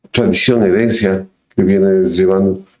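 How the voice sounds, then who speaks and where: This man's voice has a dark, mellow tone. He keeps his intonation fairly even. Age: 60s. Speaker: podcast host. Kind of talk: casual interview chat.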